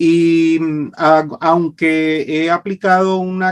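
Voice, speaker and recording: The sound is dry and close with no echo as a man with a Venezuelan accent speaks at a high pitch. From Venezuela, Maracaibo (Zulia). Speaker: public speaking coach and licensed broadcaster. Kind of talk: interview.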